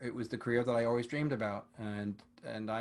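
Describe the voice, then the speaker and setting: In an ordinary speaking voice, a man talks at a fairly quick pace and a medium pitch. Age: 60s. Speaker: retired orchestral trombonist and teacher. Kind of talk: interview.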